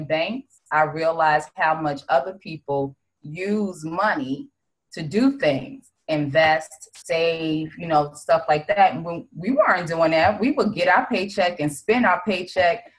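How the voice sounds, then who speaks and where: With a Brooklyn accent, a woman talks at a moderate pace. Her voice sits at a fairly low pitch and is somewhat breathy. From Brownsville, Brooklyn, New York. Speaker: insurance agent. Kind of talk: podcast interview.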